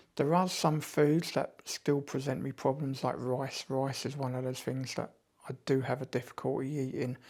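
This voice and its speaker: A man speaks with a British accent. His intonation stays fairly even. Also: very clean recording, silent background. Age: 50s. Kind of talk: casual talk to camera.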